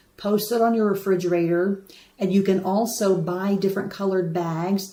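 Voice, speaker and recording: Noticeable background noise sits behind a woman with an American accent whose intonation stays fairly even. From United States. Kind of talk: live stream talk to viewers. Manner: casual, chatty.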